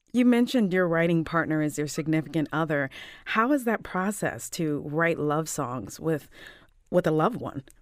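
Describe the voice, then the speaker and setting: A plain, everyday voice at a moderate pace with lively intonation, on a very clean recording with a silent background. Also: woman, fairly low pitch for a woman. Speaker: radio host. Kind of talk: interview.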